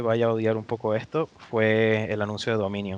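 A man talks in a plain, everyday voice at medium pitch with fairly even intonation. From Venezuela. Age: 20s. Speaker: video game network operations engineer. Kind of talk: interview.

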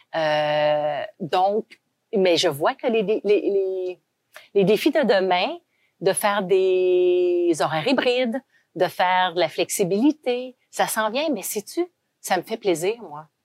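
At a very slow pace, a woman speaks with lively intonation at a medium pitch, the sound dry and close with no echo. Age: 50s. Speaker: company founder and CEO. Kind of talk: interview.

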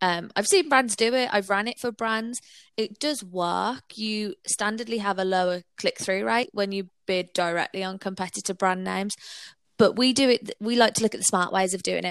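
Recorded dry and close with no echo on a silent background, a woman with a Brummie accent talks at a moderate pace, medium pitch, and ordinary pitch variation. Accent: Birmingham (Brummie). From Birmingham, England. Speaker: digital marketing agency owner. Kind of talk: interview.

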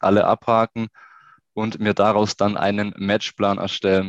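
A man talks at a moderate pace with a fairly low pitch and monotone, flat intonation. The sound is dry and close with no echo, and the background is quiet. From Swabian Jura, southern Germany. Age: 20s. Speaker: youth football coach and sports researcher. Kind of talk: interview.

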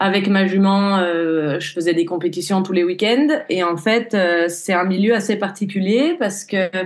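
A woman speaks at a medium pitch. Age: 20s. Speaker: horse riding instructor and equine therapist. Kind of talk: podcast interview, personal testimony. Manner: hesitant, many fillers.

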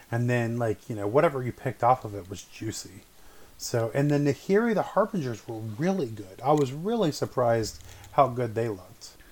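A man at medium pitch, lively intonation and a fairly quick pace. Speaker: podcast co-host. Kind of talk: casual chat. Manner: animated, talkative.

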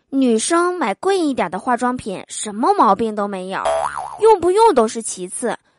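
Her pitch is high for a woman and swings very widely. She keeps a moderate pace. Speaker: comedy podcast host. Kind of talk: joke telling. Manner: animated.

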